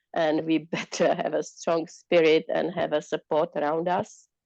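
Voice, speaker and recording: A woman with a non-native accent speaks at a moderate pace in a dark, mellow tone and fairly low pitch, her intonation monotone and flat, the sound dry and close with no echo. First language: not English. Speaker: participant. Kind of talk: group sharing in online talk. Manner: halting.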